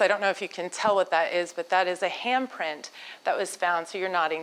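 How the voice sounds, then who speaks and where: In an unremarkable speaking voice, a woman with an American accent talks at medium pitch and a fairly quick pace. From United States. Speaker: entrepreneur and speaker. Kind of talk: conference talk. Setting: stage with audience. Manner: conversational, interactive with audience.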